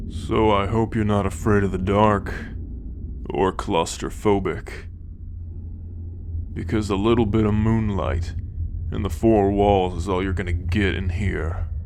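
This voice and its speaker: Over clear background noise, a man puts on a gruff character voice at a fairly low pitch, speaking fairly slowly with long, frequent pauses. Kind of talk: fantasy ASMR roleplay. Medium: solo performance. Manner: gruff, sardonic, profane.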